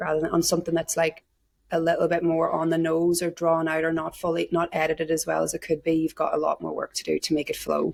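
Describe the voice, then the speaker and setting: Someone talks very fast with an Irish accent in a dry, close sound with no echo. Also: woman. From Ireland, small town. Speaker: actor. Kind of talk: interview. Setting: remote call. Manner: casual, many fillers.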